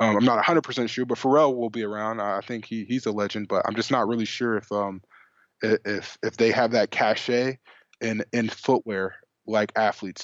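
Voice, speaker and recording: This man has an unremarkable speaking voice, medium in pitch, with an American accent, a moderate pace and fairly even intonation. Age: 20s. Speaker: sneaker enthusiast. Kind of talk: casual chat.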